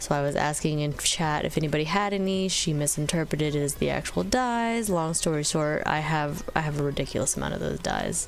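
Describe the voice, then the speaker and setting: A woman with a very deep, low voice talks at a fairly quick pace with lively intonation, very even loudness, and hardly any pauses. Audible room echo and noticeable background noise fill the recording. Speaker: gaming YouTuber. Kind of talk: casual gameplay commentary. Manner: animated.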